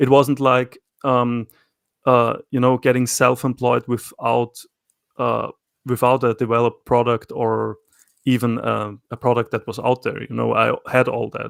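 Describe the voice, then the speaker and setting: A man speaks with an Austrian accent. The recording is very clean, with a silent background and a dry, close sound with no echo. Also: fairly slow pace. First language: German. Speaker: self-employed knifemaker. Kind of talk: casual interview conversation. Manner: hesitant, many fillers and repetitions.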